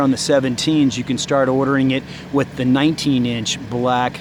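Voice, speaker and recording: A man with a fairly high voice talks amid noticeable background noise. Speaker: car dealership salesman and reviewer. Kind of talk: car walkaround review. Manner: fast; enthusiastic.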